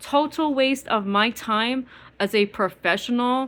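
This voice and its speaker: In an East Coast US accent, a woman talks with lively intonation at a fairly high pitch. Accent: East Coast twang. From US Midwest. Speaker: vlogger. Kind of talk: angry rant monologue. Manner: fast; animated.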